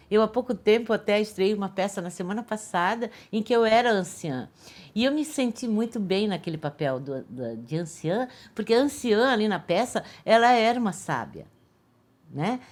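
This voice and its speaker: This woman has a fairly high pitch. She talks at a moderate pace. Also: lively intonation, very clean recording, silent background. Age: 60s. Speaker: artist and actress. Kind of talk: documentary interview. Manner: casual, with many hesitations and repeated words.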